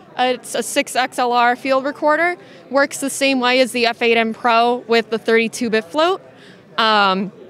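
A woman speaks very slowly at a high pitch. The sound is dry with no echo, and crowd noise fills the background. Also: ordinary pitch variation. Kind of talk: product demo explanation. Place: hall. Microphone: handheld.

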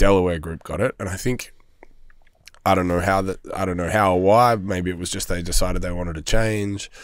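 Fairly quick speech with an Australian accent and fairly even intonation. The sound is dry with no echo, and the background is quiet. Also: man, very deep, low pitch for a man. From Melbourne, Australia. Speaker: hospitality business owner; podcast guest. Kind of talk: casual chat. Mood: relaxed, candid. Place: studio. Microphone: studio mic.

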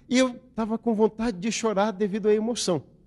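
A man's dark, mellow tone. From Brazil, interior of São Paulo state. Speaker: religious lecturer. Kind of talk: lecture. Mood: warm, grateful, smiling. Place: hall. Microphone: handheld.

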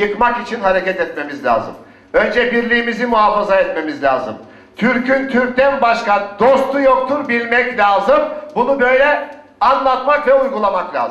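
A man speaks with a passionate tone at an extremely high pitch. Noticeable background noise is present. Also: ordinary pitch variation, moderate pace. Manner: emphatic, passionate.

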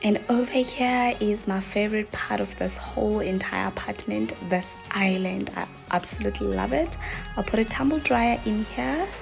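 The speaking moves at a moderate pace. Faint music plays in the background. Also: woman. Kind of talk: casual vlog chat. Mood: excited, delighted. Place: kitchen. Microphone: phone near.

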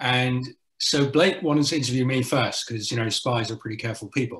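Lively intonation from a man at a fairly quick pace, with audible room echo and a quiet background. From South Africa and the Netherlands. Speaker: journalist and author. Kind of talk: interview on panel. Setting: video call. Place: home room. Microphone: video call.

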